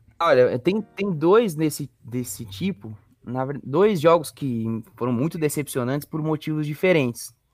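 With music in the background, a man speaks at a fairly slow pace with hardly any pauses. His voice is fairly high, with lively intonation. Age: 20s. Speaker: football fan page administrator. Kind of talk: casual chat.

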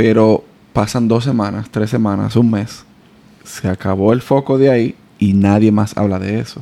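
The voice has a dark, mellow tone and a monotone, flat intonation, delivered at a moderate pace. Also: man, fairly low pitch for a man. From Dominican Republic. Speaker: podcast host. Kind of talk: casual interview.

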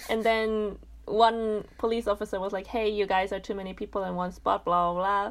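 A woman talks at a moderate pace and a medium pitch, in a monotone, flat way. The recording is very clean, with a silent background. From Germany. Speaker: podcast guest. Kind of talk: casual chat.

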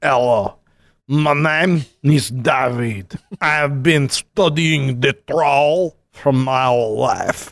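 Very slow, fairly high-pitched speech from a man in a put-on character voice.

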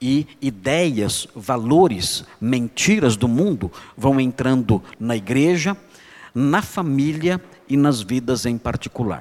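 Lively intonation runs through a man's medium-pitched voice. He speaks at a very slow pace. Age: 50s. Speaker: pastor. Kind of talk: sermon. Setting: church conference, speaking seated.

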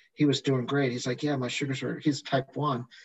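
Somewhat breathy and fairly high in pitch, a man talks with fairly even intonation. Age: 50s. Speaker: physician. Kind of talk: casual chat.

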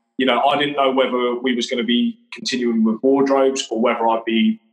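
Over music in the background, a man with an English accent speaks at a medium pitch and a moderate pace, with ordinary pitch variation. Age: 30s. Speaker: interior fitter and business owner. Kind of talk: casual chat.

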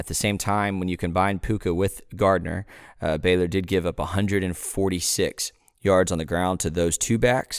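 Fairly even intonation with an American accent comes through on a very clean recording with a silent background and a dry, close sound with no echo. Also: man. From Texas, Waco. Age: 20s. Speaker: sports podcast host. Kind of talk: casual sports talk.

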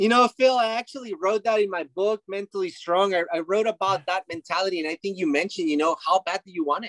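Talking very fast with hardly any pauses, a high-pitched man with a Spanish accent shows ordinary pitch variation in a dry, close sound with no echo. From Mexico. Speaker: retired baseball player. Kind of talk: interview. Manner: animated.

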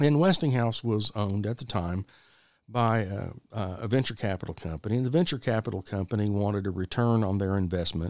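On a very clean recording with a silent background, a man with an American accent talks at a fairly quick pace, fairly low in pitch and with ordinary pitch variation. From Texas. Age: 50s. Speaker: podcast host, business owner. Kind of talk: solo podcast monologue. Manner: casual, folksy.

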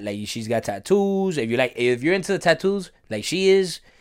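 A man with an American accent, lively intonation and a fairly quick pace, on a very clean recording with a silent background. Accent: Miami Cuban American English. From Miami area, Cuban American family. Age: 20s. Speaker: bodybuilder. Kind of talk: casual chat.

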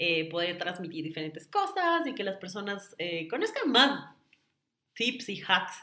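A woman's bright, sharp tone at a medium pitch and a fairly slow pace. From Ecuador, Quito. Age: 30s. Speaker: influencer and marketing consultant. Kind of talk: casual interview. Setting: in person, same room.

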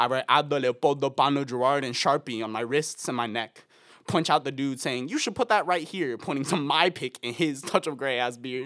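A man with a plain, everyday voice speaks at a fairly quick pace and fairly high pitch, with ordinary pitch variation, on a very clean recording with a silent background and a dry, close sound with no echo. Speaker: student poet and singer. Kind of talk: poetry reading.

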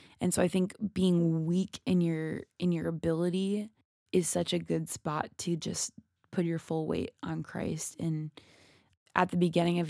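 A woman with an Upper Midwest accent speaks at a fairly low pitch, her tone dark and mellow and her intonation monotone and flat. The recording is very clean, with a silent background and a dry, close sound with no echo. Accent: Upper Midwest American. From Minnesota, US Midwest. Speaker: podcast co-host. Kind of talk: casual chat.

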